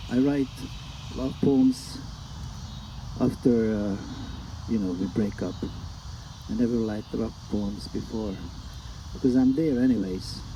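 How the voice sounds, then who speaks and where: The speaker has a Hungarian accent, a fairly slow pace, ordinary pitch variation and long, frequent pauses. Room echo is audible, along with noticeable background noise. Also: man, medium pitch for a man. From Hungary. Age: 60s. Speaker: poet. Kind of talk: poetry reading. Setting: live reading with audience.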